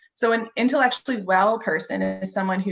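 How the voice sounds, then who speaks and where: A woman talks at a medium pitch. Music plays in the background. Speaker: wellness presenter. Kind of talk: presentation.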